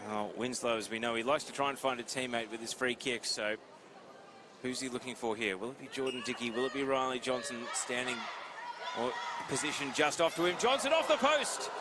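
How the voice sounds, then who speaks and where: Noticeable background noise sits behind the recording. A man talks fairly quickly at a mid-range pitch. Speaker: play-by-play commentator. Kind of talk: live sports commentary. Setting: commentators' table at indoor arena with crowd. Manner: animated, fast-paced.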